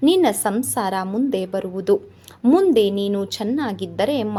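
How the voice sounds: The intonation is lively. It belongs to a natural reading voice.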